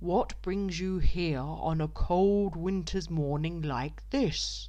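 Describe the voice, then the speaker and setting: A woman uses a put-on character voice at a very slow pace, with noticeable background noise behind her. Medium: read story. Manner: loud and hearty.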